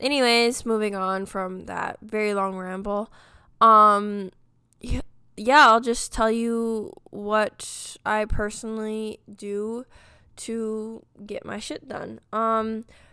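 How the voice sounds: At a slow pace, a bright, sharp, clear, smooth tone moves little in pitch on a very clean recording with a silent background. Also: woman, medium pitch for a woman.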